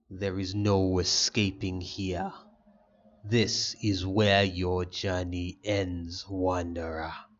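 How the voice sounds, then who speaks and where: A man's put-on character voice, very deep and low, at a very slow pace with monotone, flat intonation. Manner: menacing.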